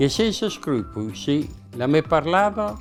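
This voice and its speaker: Music plays behind a man speaking very slowly in a Mantuan accent. His pitch swings very widely. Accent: Northern Italian, Mantuan. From Northern Italy. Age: 80s+. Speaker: humorist, dialect poet. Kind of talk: dialect poetry reading.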